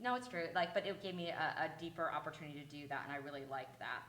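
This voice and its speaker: The speech runs at a very fast pace. Audible room echo surrounds it. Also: woman. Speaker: legal advocacy panelist and podcaster. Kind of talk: conference panel talk.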